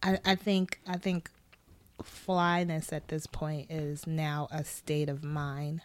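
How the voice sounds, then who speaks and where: A woman with an American accent speaks at a very slow pace in a very deep, low pitch, with monotone, flat intonation. The recording is very clean, with a silent background. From Brooklyn, New York. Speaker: wardrobe stylist and costume designer. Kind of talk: casual interview. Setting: studio.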